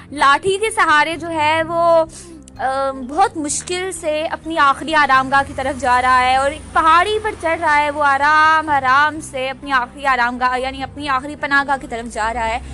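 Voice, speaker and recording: Over noticeable background noise, a woman with high pitch uses a raised, projected voice. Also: ordinary pitch variation. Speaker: podcaster. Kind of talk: casual monologue. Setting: outdoors at roadside bus stop.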